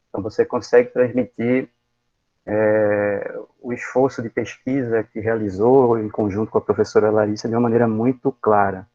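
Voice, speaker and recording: At a moderate pace, a man speaks at medium pitch in a monotone, flat delivery. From Pernambuco, Brazilian Northeast. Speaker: university professor, thesis examiner. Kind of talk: academic thesis defense feedback. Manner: hesitant, many fillers and repetitions.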